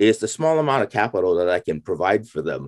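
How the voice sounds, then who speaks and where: A man with an American accent and lively intonation, in a very clean recording with a silent background and a dry, close sound with no echo. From US West Coast, San Francisco. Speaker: angel investor and former professor. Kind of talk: interview. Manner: halting, many fillers and repetitions.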